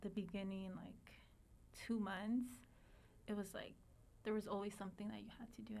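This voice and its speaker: With a Spanish accent, a woman speaks using ordinary pitch variation. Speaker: teacher. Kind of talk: interview. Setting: podcast recording.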